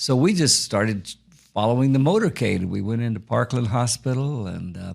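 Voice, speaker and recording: A man with a Texan accent speaks at a fairly quick pace in a medium pitch, his intonation lively, on a very clean recording with a silent background. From Texas, Fort Worth. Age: 70s. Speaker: author. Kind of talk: interview storytelling. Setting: studio. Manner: halting.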